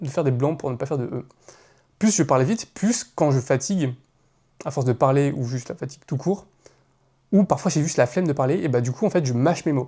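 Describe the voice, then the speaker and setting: Moving at a fairly quick pace, a man speaks with a fairly high pitch, a dark, mellow tone, some breathiness and ordinary pitch variation. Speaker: content creator. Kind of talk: casual monologue. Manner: fast; hesitant, filler sounds.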